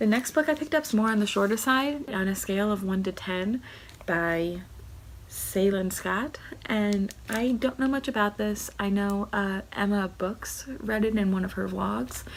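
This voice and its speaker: Quiet, somewhat breathy speech at a moderate pace with ordinary pitch variation. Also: woman, medium pitch for a woman. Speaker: booktuber. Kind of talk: casual vlog book haul. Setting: at home. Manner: talking quietly.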